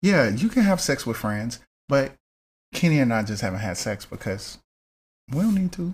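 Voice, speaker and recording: With long, frequent pauses, a somewhat breathy man at a medium pitch swings very widely in pitch on a very clean recording with a silent background. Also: moderate pace. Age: 30s. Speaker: content creator. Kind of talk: casual chat.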